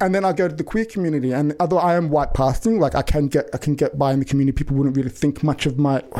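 A man with a western Sydney accent speaks very fast at a fairly high pitch. His tone is dark and mellow, his intonation fairly even. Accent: western Sydney Australian.

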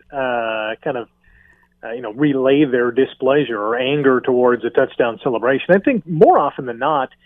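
A man's medium-pitched voice at a moderate pace, a normal speaking voice. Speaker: sports broadcaster. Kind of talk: casual chat. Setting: studio.

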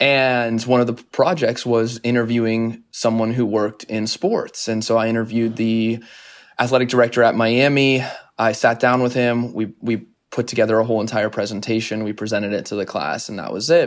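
This man has an unremarkable speaking voice at medium pitch and a fairly quick pace. His intonation is fairly even, and the recording is very clean with a silent background. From Arizona, US. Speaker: media company founder and CEO. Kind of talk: interview.

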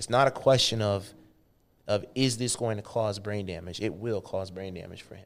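On a very clean recording with a silent background, a man with a plain, everyday voice and an American accent talks fairly quickly at a fairly low pitch with ordinary pitch variation. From Missouri. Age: 30s. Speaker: fitness executive. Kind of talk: casual interview.

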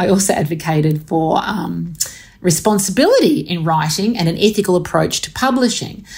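A woman speaks at a moderate pace in an Australian accent. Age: 50s. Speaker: author and professor. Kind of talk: interview.

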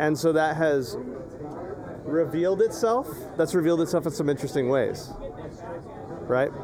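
Fairly high-pitched male speech with an American accent, very even in loudness, at a moderate pace with long, frequent pauses, over noticeable background noise. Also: ordinary pitch variation. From US Southwest, Imperial Valley, California. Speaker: podcast host and teacher. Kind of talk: casual chat. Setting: outdoors in a yard.

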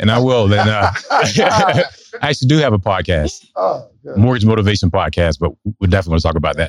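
A man speaks at a fairly quick pace with a fairly low pitch. His ordinary pitch variation comes through a dry, close sound with no echo. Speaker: audience member asking a question at a live podcast taping. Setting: live event with audience.

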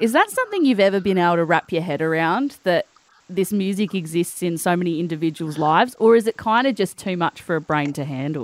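A woman with an Australian accent speaks very fast at a fairly low pitch, her intonation lively. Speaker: radio breakfast host. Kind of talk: casual chat.

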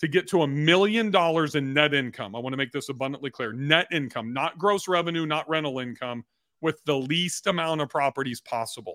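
A man with an American accent and an ordinary speaking voice, fairly high in pitch, at a fairly quick pace with ordinary pitch variation. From California (Bakersfield). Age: 50s. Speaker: entrepreneur and real estate investor. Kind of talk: interview.

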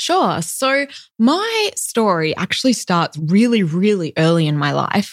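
A woman talks at a fairly slow pace in an Australian accent. Her medium pitch moves in very wide swings. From Western Australia, Perth. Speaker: physician. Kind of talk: casual interview.

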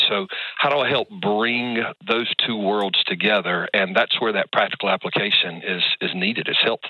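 Noticeable background noise, a fairly even intonation and a moderate pace. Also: man. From Middle Georgia. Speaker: caller, pastor. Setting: phone.

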